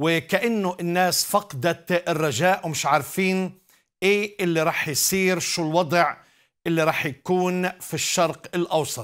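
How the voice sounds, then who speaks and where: Against a quiet background, a man with a Palestinian accent speaks fairly slowly in a high pitch with ordinary pitch variation. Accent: Palestinian Levantine Arabic. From Galilee, Israel (Nazareth). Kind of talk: evangelistic TV show with call-ins. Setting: studio. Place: studio.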